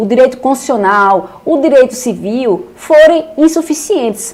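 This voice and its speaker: Speaking with a Paraíba accent, a woman uses a high pitch that swings very widely. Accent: northeastern Brazilian (Paraíba). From Paraíba, Brazil (João Pessoa). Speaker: law teacher. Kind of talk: online lecture. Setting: live stream with chat. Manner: animated.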